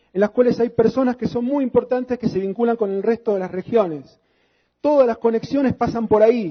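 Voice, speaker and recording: A man speaks at an extremely high pitch with ordinary pitch variation. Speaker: lecturer. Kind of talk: lecture. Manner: fast.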